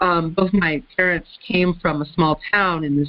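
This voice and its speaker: This woman speaks with an American accent. Her pitch sits fairly low. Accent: faint Southern, comes out around Southerners. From US South, Florida. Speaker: conference call moderator. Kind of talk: casual chat. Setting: phone conference.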